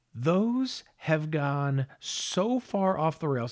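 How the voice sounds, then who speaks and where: Man with an American accent and very wide pitch swings. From Los Angeles area. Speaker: podcast co-host. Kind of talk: casual chat.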